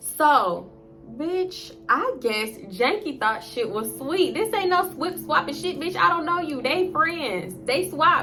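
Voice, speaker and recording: Over music in the background, a woman with a high pitch uses a raised, projected voice, her pitch swinging very widely amid audible room echo. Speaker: storytime youtuber. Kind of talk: storytime monologue. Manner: fast; animated.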